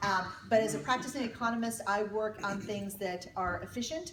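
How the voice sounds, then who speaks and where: A woman's medium-pitched voice carries audible room echo, with noticeable background noise around it. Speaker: leadership speaker, economist and retired naval officer. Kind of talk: keynote talk to an audience. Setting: stage with audience. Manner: fast; animated.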